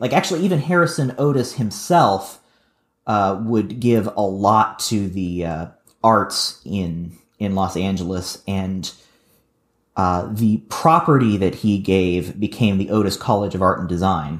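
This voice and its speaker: With an American accent and a plain, everyday voice, the speaker talks at a fairly slow pace with ordinary pitch variation. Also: man, fairly low pitch for a man. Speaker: podcast co-host and editor. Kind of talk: casual chat.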